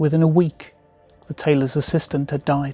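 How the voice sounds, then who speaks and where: Over background music, a man talks at a fairly high pitch in a monotone, flat way, the sound dry and close with no echo. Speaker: magician and storyteller. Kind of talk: storytelling narration to camera.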